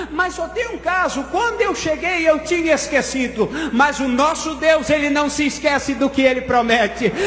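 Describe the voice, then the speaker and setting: A man speaks at an extremely high pitch and a moderate pace. Noticeable background noise and audible room echo surround him. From Colombia. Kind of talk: church testimony.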